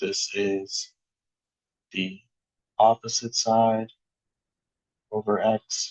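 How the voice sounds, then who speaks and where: A man's speech comes at a very slow pace, broken by long, frequent pauses. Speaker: math teacher. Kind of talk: lecture. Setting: classroom video with document camera. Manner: monotone; halting.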